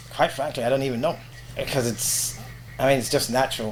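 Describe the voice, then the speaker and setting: A man talks at a very fast pace with a medium pitch. Noticeable background noise runs under his voice. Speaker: veteran radio presenter and voiceover artist. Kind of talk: casual interview. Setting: podcast interview. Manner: professional.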